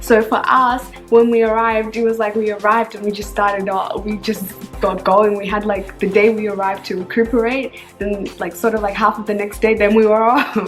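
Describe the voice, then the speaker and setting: Music plays in the background as a woman speaks in a fairly high pitch. Her intonation is flat and monotone. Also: fairly quick pace. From Zimbabwe. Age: 20s. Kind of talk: casual talk to camera.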